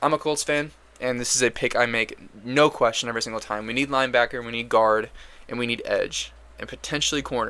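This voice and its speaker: At a very fast pace, a man talks in a medium pitch with a bright, sharp tone. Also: fairly even intonation. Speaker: sports commentator, NFL draft analyst. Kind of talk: solo mock draft commentary. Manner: casual, filler-heavy.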